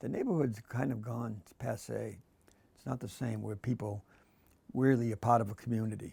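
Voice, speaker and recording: In a Boston accent, a man speaks at a moderate pace with a dark, mellow tone that is somewhat breathy, his intonation fairly even but his loudness swinging widely. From Massachusetts, Quincy. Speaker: art professor. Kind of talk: interview. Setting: art studio.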